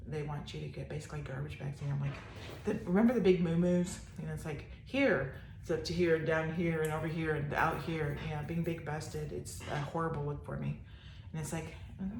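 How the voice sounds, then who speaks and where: Fairly brisk in pace, a woman talks through room echo and noticeable background noise. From Texas. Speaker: vlogger with ALS. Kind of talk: casual vlog monologue. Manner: rambling, hesitant with fillers.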